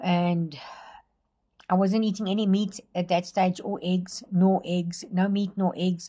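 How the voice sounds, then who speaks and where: The woman's voice is medium in pitch and somewhat breathy. Her tone is dark and mellow. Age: 60s. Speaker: vlogger. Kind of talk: casual vlog monologue. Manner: hesitant, many fillers.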